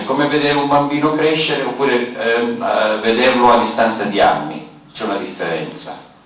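A man with lively intonation at a moderate pace, with audible room echo. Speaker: event moderator. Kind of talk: moderating a public debate. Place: hall. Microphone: camera far.

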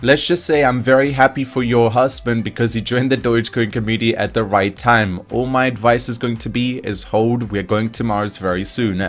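Over noticeable background noise, a man speaks at a fairly quick pace with hardly any pauses. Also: medium pitch for a man. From New Zealand. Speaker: crypto YouTuber. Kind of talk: casual commentary video. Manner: animated.

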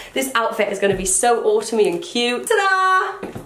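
A woman with a British accent, high-pitched and making very wide pitch swings, at a fairly slow pace over noticeable background noise. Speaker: fashion YouTuber. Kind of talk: casual vlog talk. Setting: home, indoors with rain outside. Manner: animated.

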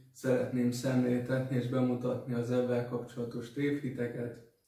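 A man's monotone, flat delivery, with audible room echo and a quiet background. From Hungary. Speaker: dating advice vlogger; vlogger giving dating tips. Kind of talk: solo vlog talk. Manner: halting, many fillers and repetitions. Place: home room. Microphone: camera far.

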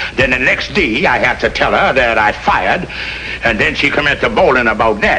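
A man at a moderate pace, over light background noise. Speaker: sitcom actor in a comic role. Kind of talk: scripted comedy dialogue. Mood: comic, sheepish. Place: office. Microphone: old recording.

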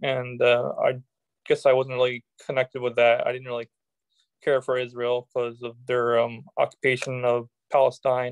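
A man with an American accent at a moderate pace, monotone and flat, over a quiet background. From United States. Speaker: political activist; interview guest. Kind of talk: interview. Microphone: video call.

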